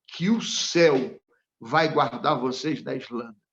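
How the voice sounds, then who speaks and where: This man has an ordinary speaking voice with a fairly high pitch. He talks at a fairly slow pace. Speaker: pastor. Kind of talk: sermon.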